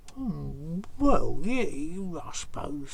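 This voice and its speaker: A man puts on a character voice, pitched high, over clear background noise. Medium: read story. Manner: hesitant, stammering.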